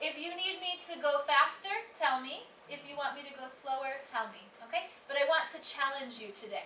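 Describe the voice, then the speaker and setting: A woman projects a raised voice at a high pitch, bright and sharp in tone, with ordinary pitch variation and big swings in loudness. She keeps a moderate pace, with audible room echo. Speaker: academic director giving a lecture. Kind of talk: lecture.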